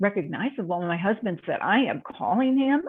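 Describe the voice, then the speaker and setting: A woman's unremarkable speaking voice, medium in pitch, with an American accent, lively intonation, and a moderate pace. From Minnesota. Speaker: health and wellness coach. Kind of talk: interview answer. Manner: casual, chatty.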